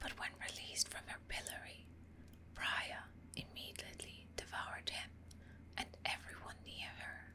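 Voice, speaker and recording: Long, frequent pauses break up a whisper set against noticeable background noise. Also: moderate pace. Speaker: ASMR creator. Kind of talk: ASMR lore reading. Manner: whispered, soft-spoken.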